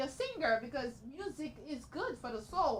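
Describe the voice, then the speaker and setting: A woman speaks in a high pitch with a raised, projected voice. Noticeable background noise sits behind her. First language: Haitian Creole. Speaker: talk show host, lifestyle expert. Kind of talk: interview.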